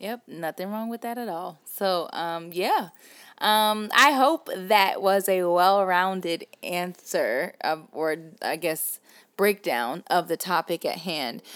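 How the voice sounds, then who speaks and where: With a Southern US accent, a woman at medium pitch speaks at a very slow pace with ordinary pitch variation and big swings in loudness, on a very clean recording with a silent background. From US South. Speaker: podcast host. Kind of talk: casual chat.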